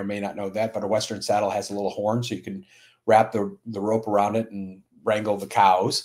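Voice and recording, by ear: Here a man speaks at a fairly low pitch. His tone is slightly mellow.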